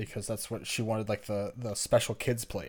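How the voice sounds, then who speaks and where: In an American accent, a man talks with an unremarkable speaking voice at medium pitch and fairly even intonation. The recording is very clean with a silent background. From US South. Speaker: podcast co-host. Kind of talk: casual chat.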